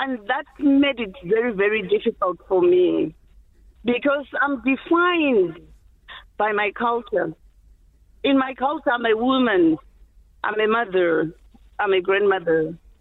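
A woman in a Zimbabwean accent, fairly high-pitched, at a fairly slow pace, with very wide pitch swings and long, frequent pauses. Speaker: HIV activist. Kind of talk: interview.

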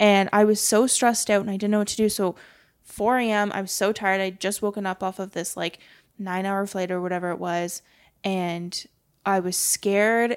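An ordinary speaking voice from a woman, medium pitch, fairly even intonation, on a very clean recording with a silent background. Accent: Canadian. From Canada. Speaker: podcast guest. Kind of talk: casual chat.

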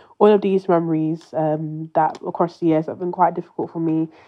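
Speaking at a fairly quick pace, a woman talks with a British accent. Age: 20s. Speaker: bereaved listener sharing a message. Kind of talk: recorded personal message to late mother. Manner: halting, with many hesitations.

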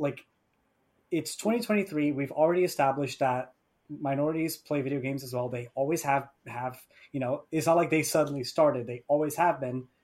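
The man has an ordinary speaking voice. He talks at a moderate pace with ordinary pitch variation. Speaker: gamer panelist. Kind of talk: casual panel chat.

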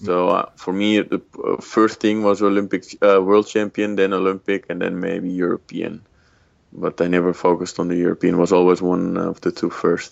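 The speaker has a Dutch accent. The delivery is monotone and flat at a moderate pace. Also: man, very deep, low pitch for a man. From Netherlands. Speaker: former judo world champion and psychologist. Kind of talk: interview. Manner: halting, many fillers.

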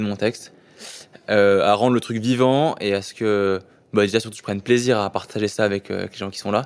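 His intonation stays fairly even as the man talks in a medium-pitched voice. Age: 20s. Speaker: elite rower. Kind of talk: casual interview. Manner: fast; mumbling.

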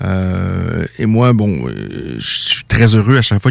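In a very clean recording with a silent background, a man with a fairly low pitch talks with fairly even intonation in an unremarkable speaking voice. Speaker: radio host of a combat sports show. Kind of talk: radio talk show. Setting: radio studio.

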